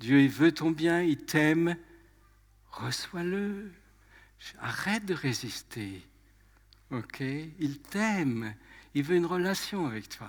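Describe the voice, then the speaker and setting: Speaking very slowly with long, frequent pauses, a man with a fairly high voice uses lively intonation and big swings in loudness. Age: 80s+. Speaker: preacher. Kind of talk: sermon.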